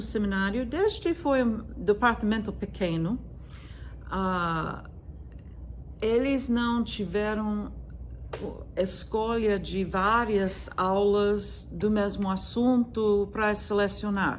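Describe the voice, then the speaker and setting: A somewhat breathy woman in an American accent, very slow pace, ordinary pitch variation, audible room echo. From US, Virginia. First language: English (speaking Portuguese). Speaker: music professor. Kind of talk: lecture. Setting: video recording from her classroom. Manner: hesitant, with frequent fillers.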